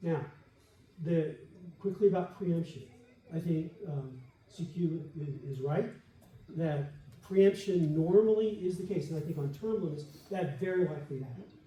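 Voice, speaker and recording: A man with a dark, mellow tone and fairly high pitch talks at a moderate pace with ordinary pitch variation and long, frequent pauses, with audible room echo. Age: 70s. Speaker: debater. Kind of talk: debate rebuttal. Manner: animated.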